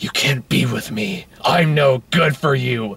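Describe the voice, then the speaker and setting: Putting on a character voice, a man talks at a fairly slow pace. His medium-pitched voice is gravelly and raspy. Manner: brooding, gruff.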